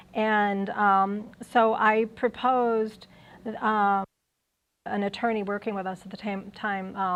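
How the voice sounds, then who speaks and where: A medium-pitched woman with an American accent and monotone, flat intonation. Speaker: university lecturer. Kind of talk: lecture. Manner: halting, many fillers.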